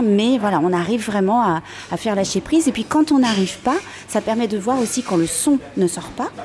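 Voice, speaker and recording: Noticeable background noise accompanies a woman speaking at a moderate pace. Her pitch swings very widely. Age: 40s. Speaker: fitness method creator, former professional dancer. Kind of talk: guided exercise; interview. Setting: café. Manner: halting.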